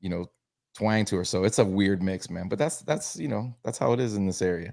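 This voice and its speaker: In a very clean recording with a silent background, a man with an American accent speaks at a fairly quick pace and fairly low pitch, with ordinary pitch variation and a plain, everyday voice. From Tampa, Florida. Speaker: sports podcast host. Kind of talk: casual sports talk livestream.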